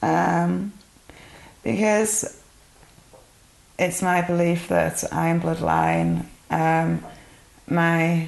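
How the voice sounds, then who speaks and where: In a Yorkshire accent, a woman talks at a very slow pace with long, frequent pauses and very even loudness. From northern England, Yorkshire (Burley-in-Wharfedale). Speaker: interviewee giving testimony. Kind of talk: interview testimony.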